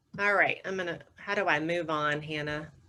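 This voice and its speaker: A woman with a Southern US accent, a very deep, low pitch, fairly even intonation and a moderate pace, over noticeable background noise. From US South, North Carolina. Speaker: communications consultant, former broadcast reporter. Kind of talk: webinar presentation. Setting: video call.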